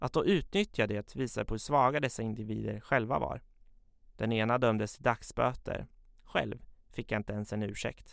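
On a very clean recording with a silent background, a man of medium pitch speaks at a moderate pace with vocal fry, ordinary pitch variation and big swings in loudness. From Sweden, Katrineholm (Södermanland). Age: 20s. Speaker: journalism student telling his life story. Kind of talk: personal narrative, scripted. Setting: studio.

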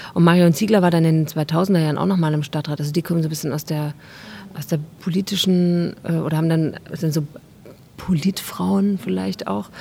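Fairly low-pitched woman in a plain, everyday voice, with ordinary pitch variation and a fairly quick pace. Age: 30s. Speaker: actress and artist. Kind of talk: interview. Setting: outdoors, market square.

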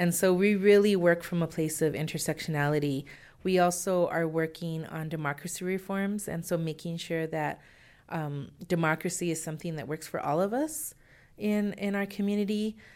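A woman with an unremarkable speaking voice talks at a moderate pace in a fairly low pitch with ordinary pitch variation, in a very clean recording with a silent background. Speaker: executive director of community organizing nonprofit. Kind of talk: radio interview.

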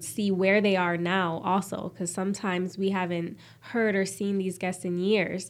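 A woman with a normal speaking voice, medium pitch, fairly even intonation and a fairly quick pace. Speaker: TV host. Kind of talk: interview.

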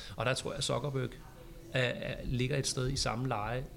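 A man speaks against noticeable background noise. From Copenhagen, Denmark. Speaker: social media teacher. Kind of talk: casual chat. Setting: studio.

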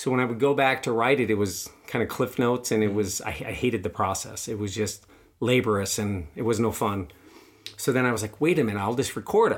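A man with a plain, everyday voice speaks at a fairly quick pace in a medium pitch with ordinary pitch variation. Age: 40s. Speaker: podcast host, cancer patient. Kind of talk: casual interview, personal testimony.

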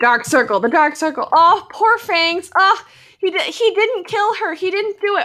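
A woman projects a raised voice with a bright, sharp tone and very wide pitch swings, at a moderate pace, in a very clean recording with a silent background. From Alberta, Canada. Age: 20s. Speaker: podcast host, actor and filmmaker. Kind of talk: casual chat.

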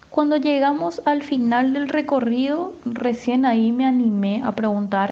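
This is a woman's voice. She talks at a fairly slow pace. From Paraguay (Asunción). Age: 20s. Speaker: university student, migrant. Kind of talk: personal testimony. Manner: animated.

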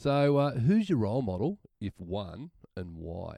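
The recording has a dry, close sound with no echo. A man speaks in a dark, mellow tone. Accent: Australian. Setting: studio.

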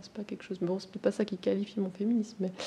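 Her pace is fairly quick and her pitch medium. This woman's intonation stays monotone and flat. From Switzerland, Valais. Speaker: feminist activist. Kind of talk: podcast interview. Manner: halting.

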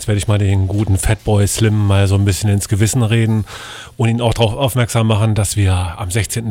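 This man's fairly low voice moves at a fairly quick clip, its intonation monotone and flat. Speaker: radio DJ and show host. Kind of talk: live radio hosting, casual chat between DJ mixes. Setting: radio studio.

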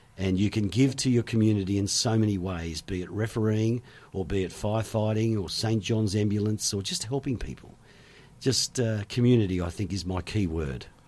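This man speaks with an Australian accent at a fairly quick pace and a fairly low pitch. The recording is very clean, with a silent background. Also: ordinary pitch variation. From western Sydney, Australia. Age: 50s. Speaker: former radio DJ and tourism business owner. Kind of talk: casual interview chat. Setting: studio.

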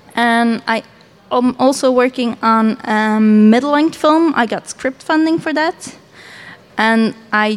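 In a Dutch accent, a woman with a high pitch speaks at a fairly slow pace with ordinary pitch variation. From Belgium. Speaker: animator. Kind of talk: panel discussion.

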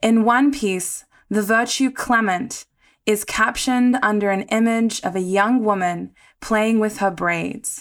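On a very clean recording with a silent background, a woman with an Australian accent speaks fairly slowly at a fairly high pitch, with ordinary pitch variation and very even loudness. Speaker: podcast host. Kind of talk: interview; scripted narration.

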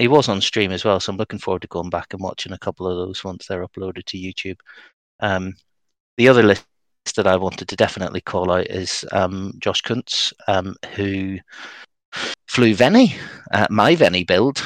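At a moderate pace and with fairly even intonation, a man with a very deep, low voice speaks with long, frequent pauses in a dry, close sound with no echo. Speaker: podcast host. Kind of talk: casual chat. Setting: video call.

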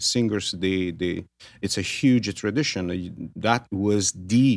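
A man with a Neapolitan accent and a fairly low pitch is heard on a very clean recording with a silent background. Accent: Italian (Neapolitan). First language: Italian. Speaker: tenor singer. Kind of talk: radio interview. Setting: studio. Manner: halting.

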